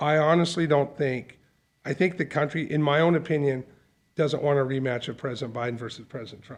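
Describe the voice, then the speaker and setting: A man talks at a fairly quick pace. His is an unremarkable speaking voice. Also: fairly high pitch for a man. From Calgary, Canada. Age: 50s. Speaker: insurance company CEO. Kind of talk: casual chat. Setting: studio.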